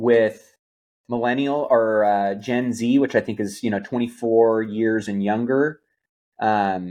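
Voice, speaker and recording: A man talks at a fairly slow pace in an ordinary speaking voice, medium in pitch with ordinary pitch variation. The background is quiet. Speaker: podcast co-host. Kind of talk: casual chat.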